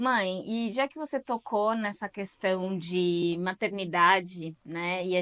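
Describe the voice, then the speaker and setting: With an ordinary speaking voice, a woman talks at medium pitch with ordinary pitch variation, in a dry, close sound with no echo over a quiet background. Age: 30s. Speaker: channel host, interviewer. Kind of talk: casual interview. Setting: video recording with her mother.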